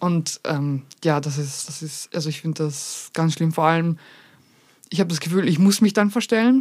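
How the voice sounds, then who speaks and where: At a moderate pace, a woman talks in a normal speaking voice with a fairly low pitch. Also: ordinary pitch variation. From Vienna, Austria. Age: 20s. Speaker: content creator. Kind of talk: casual chat.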